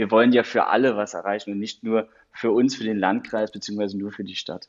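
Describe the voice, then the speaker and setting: At a very fast pace, a fairly low-pitched man speaks with fairly even intonation. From Saarland, Germany. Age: 30s. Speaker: county digital officer. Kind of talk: interview. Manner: hesitant, many fillers.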